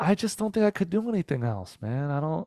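Against a quiet background and in a dry, close sound with no echo, a man with a plain, everyday voice and an American accent speaks at a fairly quick pace and fairly high pitch, with lively intonation. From New Jersey. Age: 30s. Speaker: comedian and musician. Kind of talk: casual interview chat. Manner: fast, with many fillers and restarts.

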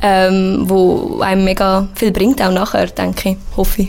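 A woman is speaking. Her pitch is medium. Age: 20s. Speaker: university student. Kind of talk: casual interview.

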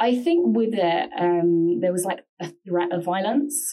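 Fairly low in pitch, a woman speaks in a London accent with a dark, mellow tone. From London, England. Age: 20s. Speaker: journalist. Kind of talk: casual interview about personal mental health.

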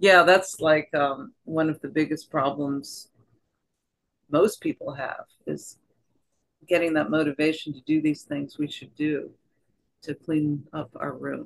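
The speaker has an American accent and moves at a fairly slow pace. Long, frequent pauses break up the speech. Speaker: therapist. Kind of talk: casual conversation.

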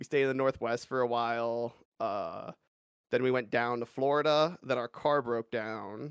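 With a dry, close sound and no echo, a man with a Californian accent speaks at a moderate pace in a medium pitch with fairly even intonation. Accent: Californian American. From US West Coast, Los Angeles suburbs. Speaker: speedrunner and streamer. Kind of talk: casual interview.

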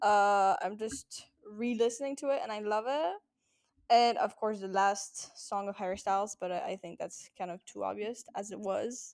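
A woman speaks at a moderate pace in a French accent, her pitch fairly high. The recording is very clean with a silent background. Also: ordinary pitch variation. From France. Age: 20s. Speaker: podcast co-host. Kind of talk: casual chat.

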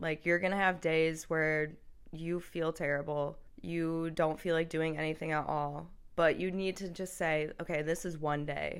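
With monotone, flat intonation, a woman talks at a fairly low pitch in an American accent. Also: moderate pace. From US Midwest (Michigan). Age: 20s. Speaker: university student. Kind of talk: casual interview. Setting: in person.

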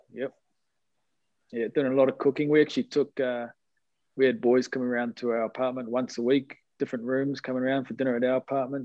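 Talking at a very fast pace, a man with a New Zealand accent uses a medium pitch and fairly even intonation. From New Zealand, Hibiscus Coast north of Auckland. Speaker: rugby league team manager. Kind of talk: interview. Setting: video call.

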